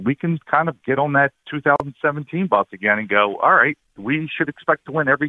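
Speaking with an American accent, this is an ordinary speaking voice with lively intonation. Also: man. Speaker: caller. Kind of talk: casual sports talk. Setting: phone call.

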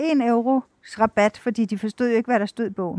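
A woman talks at a very fast pace in a fairly high voice with a dark, mellow tone and ordinary pitch variation. The sound is dry and close, with no echo. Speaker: TV foreign correspondent and author. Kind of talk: interview. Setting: outdoors on a city square.

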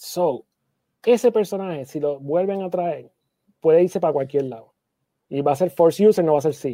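A man with a high pitch and a dark, mellow tone talks at a moderate pace with ordinary pitch variation and long, frequent pauses. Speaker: comic convention producer, podcast co-host. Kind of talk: casual chat.

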